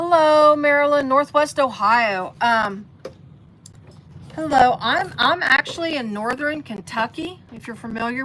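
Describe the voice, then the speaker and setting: A woman speaks at a fairly slow pace with an American accent. Her tone is bright and sharp. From US Midwest, Cincinnati area. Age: 60s. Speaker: sewing livestreamer. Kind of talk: live sewing tutorial. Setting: basement, livestream. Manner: casual, halting with fillers.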